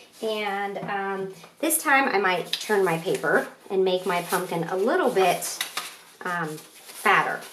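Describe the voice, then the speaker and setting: A woman's very slow speech carries audible room echo and noticeable background noise. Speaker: art teacher. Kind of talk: tutorial.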